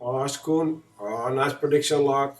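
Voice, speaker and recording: With a strong Dutch accent, a man speaks at a fairly high pitch. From Netherlands. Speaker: gaming streamer. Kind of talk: live game commentary. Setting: live stream. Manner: halting.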